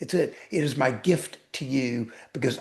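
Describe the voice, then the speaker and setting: A man talks at a medium pitch with ordinary pitch variation and a somewhat breathy sound. His pace is very slow. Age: 60s. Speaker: weight loss coach and author. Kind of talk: podcast interview. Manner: emphatic, repetitive.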